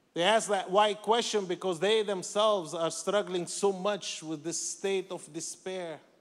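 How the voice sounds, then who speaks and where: A man speaks at a fairly slow pace in a high voice with fairly even intonation and hardly any pauses. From Lebanon. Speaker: ministry director. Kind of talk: testimony.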